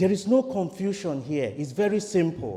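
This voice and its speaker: With a Nigerian accent, the speaker keeps a moderate pace over noticeable background noise. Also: man. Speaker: priest. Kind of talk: sermon.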